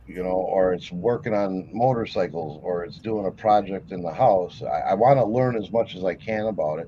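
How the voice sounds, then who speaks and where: A man speaks at a moderate pace with hardly any pauses, his fairly low pitch showing ordinary variation. Noticeable background noise is present. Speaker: livestream host, reseller. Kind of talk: casual chat. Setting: livestream. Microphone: built-in camera microphone.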